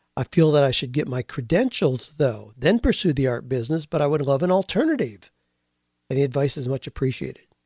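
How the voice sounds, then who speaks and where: Recorded very cleanly against a silent background, a man with a fairly high pitch and a dark, mellow tone sounds somewhat breathy, the sound dry and close with no echo. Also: ordinary pitch variation, fairly quick pace. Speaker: radio host and career coach. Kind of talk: casual podcast monologue with sponsor reads.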